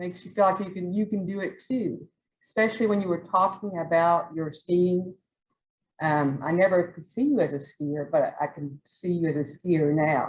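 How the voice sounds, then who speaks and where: With a Southern accent, the voice is somewhat breathy and has ordinary pitch variation. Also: woman, fairly low pitch for a woman, moderate pace. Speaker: toastmasters club member giving a speech. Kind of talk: prepared club speech.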